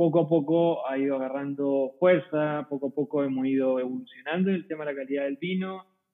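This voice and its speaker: A normal speaking voice moves at a fairly quick pace with hardly any pauses. Its intonation stays fairly even. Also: man, fairly high pitch for a man. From Chile, Curicó Valley. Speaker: winemaker. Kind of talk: casual chat.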